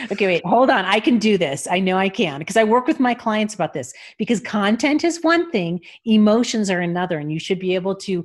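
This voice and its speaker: The speaker talks at a very fast pace with lively intonation against a quiet background. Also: woman. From Los Angeles. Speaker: voice actor and voice coach. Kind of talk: interview conversation.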